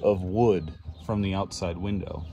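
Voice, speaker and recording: A man speaks in a fairly low pitch with a dark, mellow tone and ordinary pitch variation. Light background noise can be heard. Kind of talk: casual vlog tour explaining work plans. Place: bus. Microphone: phone near.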